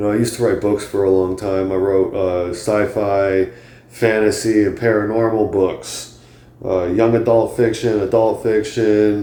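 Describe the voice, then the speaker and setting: A man speaks at a moderate pace in a fairly low, dark and mellow voice. His intonation is flat and monotone, and the room echo is audible. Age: 30s. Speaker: comedian and podcast host. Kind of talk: casual monologue. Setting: home, on a couch. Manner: halting, many fillers.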